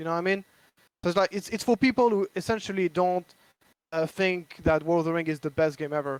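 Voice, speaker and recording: In a French accent, the speaker goes at a very fast pace with ordinary pitch variation, the sound dry and close with no echo. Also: man, high pitch for a man. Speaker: board game designer. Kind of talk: casual chat. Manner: halting.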